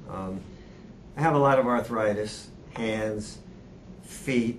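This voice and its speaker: A man's fairly low voice at a very slow pace, ordinary pitch variation, and audible room echo. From New Hampshire. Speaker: seminar attendee. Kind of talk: group introduction.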